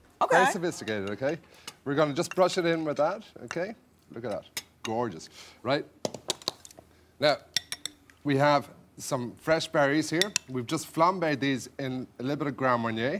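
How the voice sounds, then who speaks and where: A man speaks at a moderate pace with lively intonation, leaving long, frequent pauses. Noticeable background noise runs underneath. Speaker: guest. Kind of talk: cooking demonstration. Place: studio. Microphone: lapel.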